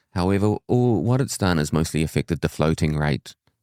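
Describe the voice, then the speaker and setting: A man speaks with a New Zealand accent. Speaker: mortgage adviser. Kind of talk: casual chat.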